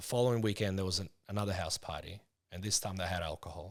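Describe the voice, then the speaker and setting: This man has a fairly low pitch and ordinary pitch variation, recorded very cleanly against a silent background. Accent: Russian. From Moldova (USSR), moved to Australia at nine. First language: Russian. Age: 40s. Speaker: psychotherapist. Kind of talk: interview testimony. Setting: studio.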